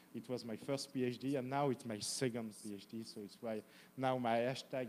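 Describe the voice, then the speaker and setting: At medium pitch, a man speaks with a strong French accent. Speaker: professor, academic presenter. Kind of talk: academic presentation. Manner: halting, many fillers.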